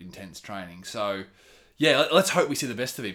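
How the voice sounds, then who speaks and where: A man with an Australian accent, bright and sharp in tone, on a very clean recording with a silent background. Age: 30s. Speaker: running enthusiast, host's best friend. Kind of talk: casual chat. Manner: animated.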